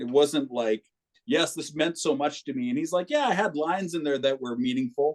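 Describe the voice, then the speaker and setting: With an American accent, a man with a normal speaking voice uses lively intonation at a fairly high pitch. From Minneapolis, Minnesota. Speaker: musician. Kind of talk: casual chat.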